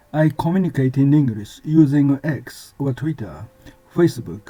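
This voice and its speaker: In a Japanese accent, a man speaks fairly slowly at a fairly high pitch, somewhat breathy, with a dark, mellow tone and ordinary pitch variation. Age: 70s. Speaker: language learner sharing study tips. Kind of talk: scripted narration. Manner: formal.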